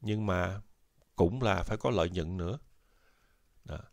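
A man's fairly slow delivery carries lively intonation. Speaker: YouTube educator on US social benefits and retirement. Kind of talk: informal educational talk. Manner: halting, many fillers.

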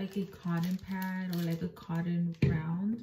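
Somewhat breathy and dark, mellow in tone, a woman's voice comes with audible room echo and light background noise. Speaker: beauty vlogger. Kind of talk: casual skincare tutorial chat. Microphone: phone near.

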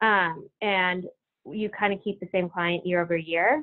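Against a quiet background, a woman with an American accent talks at a fairly slow pace. Her pitch varies in an ordinary way. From Massachusetts, Ashland; Massachusetts. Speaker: consultant; presenter. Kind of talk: corporate presentation. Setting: video call. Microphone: video call.

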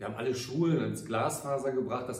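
Audible room echo surrounds a man speaking in a flat monotone. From Ruhr area, Germany (Gelsenkirchen); Germany. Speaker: mayor. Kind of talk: farewell address to citizens. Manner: formal. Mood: warm, grateful, measured. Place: office.

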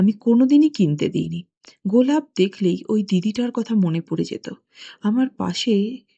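A somewhat breathy woman's voice, dark and mellow in tone, with lively intonation and a dry, close sound free of echo. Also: medium pitch for a woman. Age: 60s. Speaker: anonymous listener confessing. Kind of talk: recorded confession testimony.

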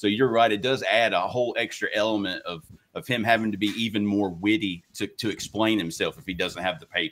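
This man has a normal speaking voice, fairly low in pitch with ordinary pitch variation, and he talks at a fairly quick pace. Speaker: panelist. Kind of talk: live panel discussion. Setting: video call.

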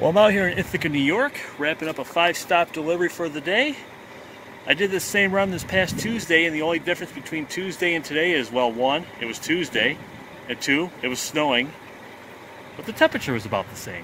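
A man with a high voice talks very fast over noticeable background noise, the sound dry with no echo. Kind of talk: casual vlog chat. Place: street. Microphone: phone near.

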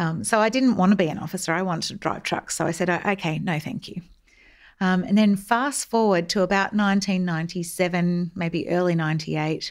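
A woman with an Australian accent speaks at a moderate pace and medium pitch, with ordinary pitch variation. The recording is very clean, the background silent. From Australia, Melbourne. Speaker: army veteran, public affairs officer. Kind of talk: interview.

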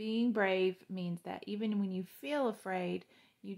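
What you hear is plain reading aloud.

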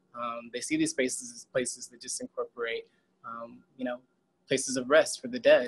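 A man with an American accent at a moderate pace, with big swings in loudness. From Houston, Texas. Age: 30s. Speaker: artist; artist on panel. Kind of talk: video call panel discussion. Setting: video call. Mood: calm, reflective. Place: open country. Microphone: video call.

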